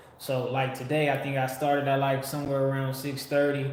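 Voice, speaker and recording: Room echo and clear background noise both surround a man as he talks. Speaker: livestream host. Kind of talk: casual livestream chat. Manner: occasional slurring and stutters.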